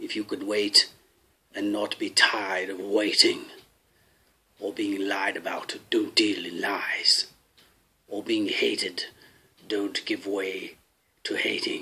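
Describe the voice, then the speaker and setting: The man talks at a very slow pace. Long pauses break up his speech often. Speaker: actor. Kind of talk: poetry reading.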